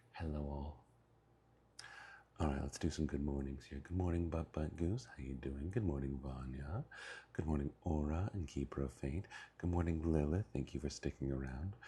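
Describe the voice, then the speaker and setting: A man speaks quietly in a very deep, low voice with a dark, mellow tone. His delivery is somewhat breathy, at a moderate pace with ordinary pitch variation. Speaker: streamer. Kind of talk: casual chat. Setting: mobile livestream.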